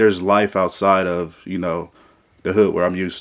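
A man with a plain, everyday voice and a fairly low pitch speaks at a moderate pace in a very clean recording with a silent background. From south side of Peoria, Illinois. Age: 20s. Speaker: young political candidate. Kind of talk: interview.

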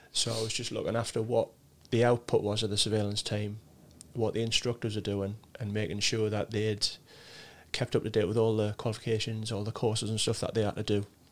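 The speaker talks fairly quickly in a Sunderland accent, with monotone, flat intonation. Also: man, fairly low pitch for a man. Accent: Mackem (Sunderland). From Sunderland, northeast England. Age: 40s. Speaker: RAF serviceman. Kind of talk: casual interview chat.

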